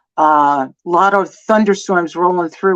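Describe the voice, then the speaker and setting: A woman in a New Jersey accent, fairly low-pitched, with ordinary pitch variation and a moderate pace against a quiet background. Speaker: former teacher, guest. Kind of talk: casual livestream chat.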